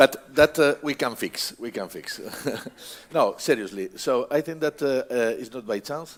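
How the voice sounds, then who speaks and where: Amid noticeable background noise, a man speaks fairly slowly at a fairly high pitch, with ordinary pitch variation and big swings in loudness. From Galicia, Spain. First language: Spanish or Galician. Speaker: research institute representative. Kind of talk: panel discussion. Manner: halting, many fillers.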